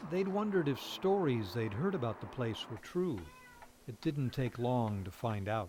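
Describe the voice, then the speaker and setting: The voice moves through very wide pitch swings at a moderate pace. Noticeable background noise runs underneath. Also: man, medium pitch for a man. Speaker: TV news reporter. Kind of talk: TV news feature narration.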